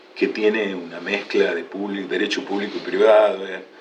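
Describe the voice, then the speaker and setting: With audible room echo and noticeable background noise behind him, this man keeps to a moderate pace. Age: 60s. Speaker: lawyer and law lecturer. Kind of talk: interview. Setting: video podcast. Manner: hesitant, many fillers.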